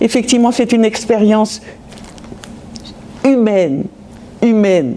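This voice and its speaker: The speech shows ordinary pitch variation, with noticeable background noise underneath. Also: woman. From France, Metz (Lorraine). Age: 80s+. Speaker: Holocaust-era witness. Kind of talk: testimony. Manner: halting, with many repetitions.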